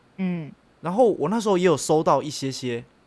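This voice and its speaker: A man with a high voice swings his pitch very widely, recorded very cleanly against a silent background. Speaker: podcast co-host. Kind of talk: casual chat.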